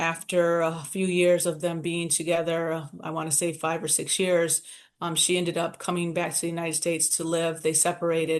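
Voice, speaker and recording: Her voice is fairly low and monotone, with flat intonation at a moderate pace. This woman barely pauses, and the background is quiet. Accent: Detroit. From Southwest Detroit, US Midwest. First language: Spanish. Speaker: nonprofit founder. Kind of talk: interview, personal life story. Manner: conversational, frequent fillers.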